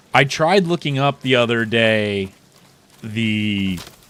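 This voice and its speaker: Male speech with ordinary pitch variation amid noticeable background noise. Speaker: gaming streamer. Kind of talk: live gameplay commentary. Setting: livestream. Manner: halting.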